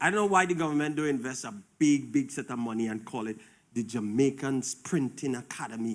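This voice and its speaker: In a very clean recording with a silent background, a man talks at a moderate pace in an ordinary speaking voice. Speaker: preacher. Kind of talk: sermon.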